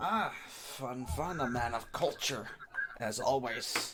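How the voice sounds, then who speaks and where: A man uses a put-on character voice at medium pitch. His pace is very slow. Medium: actual play. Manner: blustering, threatening.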